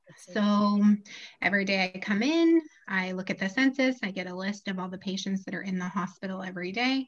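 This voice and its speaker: Her voice carries a somewhat breathy quality. The woman moves along at a fairly quick clip. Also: ordinary pitch variation. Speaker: guest. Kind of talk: interview answer. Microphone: video call.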